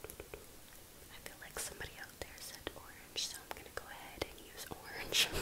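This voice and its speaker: Whispering from a woman at a moderate pace, with noticeable background noise. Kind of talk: ASMR close-up whispered coloring video; casual talk to camera. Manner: soft, close-mic whisper, relaxing.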